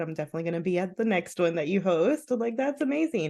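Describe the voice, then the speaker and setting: A woman's dark, mellow voice with a fairly low pitch and an American accent. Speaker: therapist and podcast host. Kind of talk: casual interview chat. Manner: animated.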